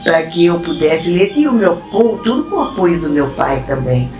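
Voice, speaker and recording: Over music in the background and audible room echo, a woman speaks at a moderate pace and medium pitch. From Brazil, Corumbá (Mato Grosso do Sul). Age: 70s. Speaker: dancer and academy member. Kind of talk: documentary interview, life story.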